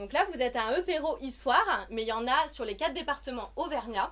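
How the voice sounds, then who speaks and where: Her pitch is high. This woman's intonation rises and falls in a lively way. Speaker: association representative. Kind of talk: welcome speech at networking event. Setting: shop event with live audience. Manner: many hesitations.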